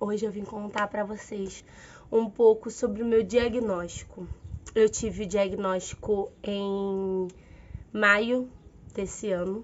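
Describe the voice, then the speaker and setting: Speaking very slowly at a medium pitch, a woman keeps a monotone, flat intonation and takes long, frequent pauses. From Rio de Janeiro. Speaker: physical education teacher. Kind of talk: casual talk to camera.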